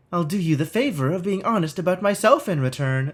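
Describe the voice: Putting on a character voice, a man speaks high-pitched at a fairly quick pace.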